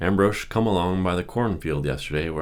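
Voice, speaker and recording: This man's voice sits very deep and low, carrying vocal fry and a gentle tone with ordinary pitch variation. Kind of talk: audiobook reading for relaxation. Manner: normal speaking voice, not whispered.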